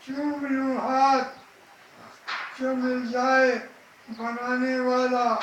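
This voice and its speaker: A man with an extremely high pitch speaks in a monotone, flat intonation over noticeable background noise. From India. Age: 80s+. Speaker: poet. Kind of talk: poetry reading.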